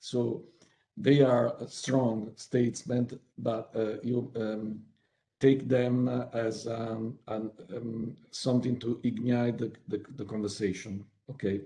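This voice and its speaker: This man speaks very slowly at a medium pitch, his dark, mellow tone staying monotone and flat. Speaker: webinar speaker on workplace inclusion. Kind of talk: online presentation. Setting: video call. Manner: halting, many fillers and repetitions.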